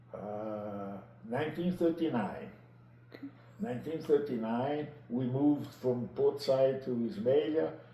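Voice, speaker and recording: Over noticeable background noise and audible room echo, a man of medium pitch speaks with long, frequent pauses. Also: lively intonation, fairly slow pace. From Egypt (Italian family), later Naples, Italy. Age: 80s+. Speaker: retired biologist telling his life story. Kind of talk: interview. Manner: halting.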